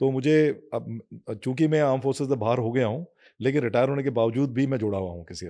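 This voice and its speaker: Dark, mellow male tone, normally varied in pitch, against a quiet background. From Garhwal, Uttarakhand, India. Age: 60s. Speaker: navy veteran, ex-marine commando. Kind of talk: podcast interview. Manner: halting, many fillers.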